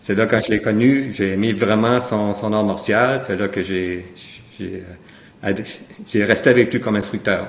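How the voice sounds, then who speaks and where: Intonation is fairly even. Delivery comes at a fairly slow pace. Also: man, fairly low pitch for a man. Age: 60s. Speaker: martial arts instructor. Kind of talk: interview. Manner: halting.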